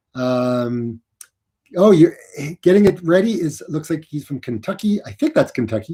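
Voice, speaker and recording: Using a plain, everyday voice, a man with a fairly high pitch speaks at a moderate pace with lively intonation. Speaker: running youtuber. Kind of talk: livestream chat.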